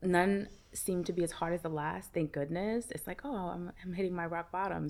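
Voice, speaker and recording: With an American accent, a woman speaks in an ordinary speaking voice, fairly low in pitch with ordinary pitch variation. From US Northeast, Brooklyn, New York. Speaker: meditation teacher and author. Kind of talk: casual chat.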